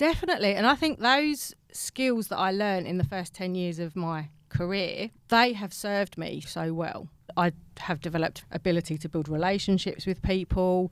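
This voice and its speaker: A woman with a South East London accent, medium pitch and lively intonation, on a very clean recording with a silent background. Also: moderate pace. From England, South East London. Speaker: animal welfare policy researcher. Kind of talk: podcast interview.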